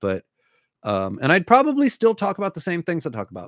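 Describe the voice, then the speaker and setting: Recorded very cleanly against a silent background, a man's voice has a dry, close sound with no echo. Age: 40s. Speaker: book YouTuber. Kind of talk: casual livestream Q&A. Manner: stammering, rambling.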